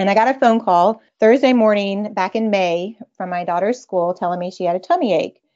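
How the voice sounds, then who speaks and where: Speaking at a fairly quick pace, a woman talks with a Texan accent. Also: medium pitch for a woman, ordinary pitch variation. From Texas. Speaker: mother sharing homeopathy experience. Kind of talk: casual interview chat.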